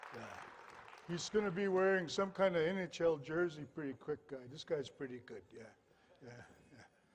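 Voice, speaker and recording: Over crowd noise in the background, a high-pitched man speaks at a moderate pace with ordinary pitch variation, big swings in loudness, and long, frequent pauses. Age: 60s. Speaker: dancer and elder. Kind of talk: stage introduction.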